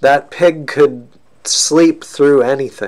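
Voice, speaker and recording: The background is quiet as a man talks. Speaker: reader. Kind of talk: reading a story aloud. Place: home room. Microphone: webcam.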